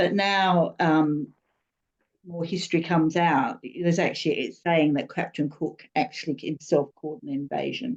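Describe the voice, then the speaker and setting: With an Australian accent, a woman speaks at a moderate pace in a fairly low pitch with lively intonation. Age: 60s. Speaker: student. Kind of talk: class discussion. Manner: halting.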